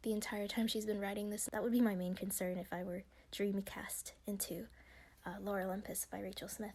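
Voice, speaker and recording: The voice is quiet and moves at a fairly quick pace. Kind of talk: casual commentary, reading and reacting to an article. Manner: quiet, low volume.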